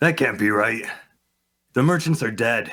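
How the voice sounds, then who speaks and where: Doing a raspy put-on character voice, a man speaks at a medium pitch and a moderate pace with lively intonation. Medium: audio drama. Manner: blunt, casual.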